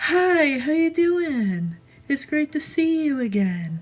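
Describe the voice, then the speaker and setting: The voice is put on, like a character. It sits high in pitch and goes fairly slowly. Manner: cheery, dorky.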